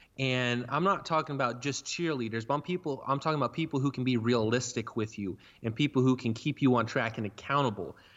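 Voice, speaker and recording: With an American accent, a man talks very fast at a medium pitch, with ordinary pitch variation and hardly any pauses. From Oklahoma (rural). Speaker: motivational speaker and entrepreneur. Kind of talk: interview.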